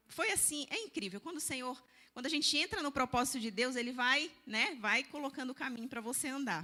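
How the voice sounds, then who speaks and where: Speaking at a fairly quick pace, a woman uses a high-pitched voice. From Belém do Pará, northern Brazil. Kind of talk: church lecture.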